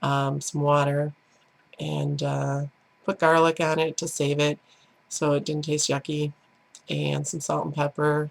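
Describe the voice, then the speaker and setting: Speaking at a fairly slow pace with long, frequent pauses, a woman with a Chicago accent is heard in a dry, close sound with no echo. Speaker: diet vlogger. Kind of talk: casual vlog monologue. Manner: halting, many fillers.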